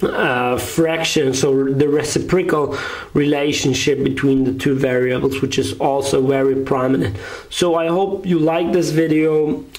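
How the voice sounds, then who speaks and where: Noticeable background noise and audible room echo accompany a man speaking at a fairly slow pace and fairly high pitch, with ordinary pitch variation and very even loudness. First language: German. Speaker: math tutor. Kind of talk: tutorial. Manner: halting.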